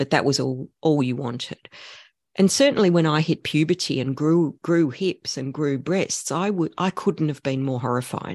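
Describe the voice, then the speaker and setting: A woman's very deep, low voice with an Australian accent, ordinary pitch variation, dry, close sound with no echo and a quiet background. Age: 50s. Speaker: gender studies professor, podcast host. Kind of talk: casual chat.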